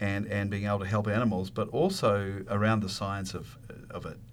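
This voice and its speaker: A man with a New Zealand accent, fairly low in pitch, at a moderate pace. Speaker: university dean, veterinarian. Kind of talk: radio interview.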